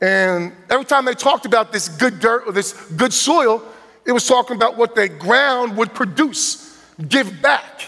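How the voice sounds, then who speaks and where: Raised and projected, a man's extremely high voice with a New Jersey accent comes across animated, bright and sharp, with lively intonation, very even loudness and a fairly slow pace. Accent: New Jersey twang. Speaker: guest preacher. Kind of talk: sermon. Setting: church.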